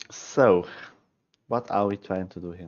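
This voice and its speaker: A man with a Swiss German accent speaks at a fairly low pitch. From Switzerland. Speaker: chess streamer. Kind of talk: live stream chess analysis. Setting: live stream.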